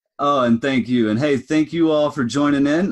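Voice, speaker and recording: A man's unremarkable speaking voice, fairly high in pitch, at a fairly quick pace with ordinary pitch variation. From US South, Alabama. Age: 30s. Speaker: podcast host. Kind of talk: podcast interview.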